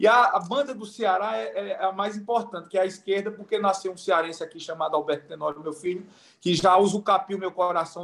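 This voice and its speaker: A man with a Pernambuco accent talks at a fairly quick pace with ordinary pitch variation. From Pernambuco, Brazil. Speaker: event moderator, mediation chamber president. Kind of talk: panel discussion.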